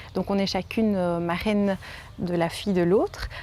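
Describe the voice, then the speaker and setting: With a Liège accent, a woman speaks at a medium pitch and moderate pace. Her intonation is monotone and flat. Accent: Liège Belgian French. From Belgium, Liège region. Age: 20s. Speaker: home nurse and mother. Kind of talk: interview testimony. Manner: halting, many hesitations.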